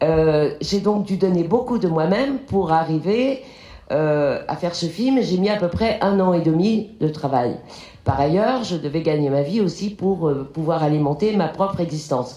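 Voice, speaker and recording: Speaking at a fairly slow pace with a dark, mellow tone, a woman with a fairly low pitch keeps her loudness very even while her intonation stays lively, and the room echo is audible. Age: 60s. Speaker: film director. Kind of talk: lecture. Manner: halting.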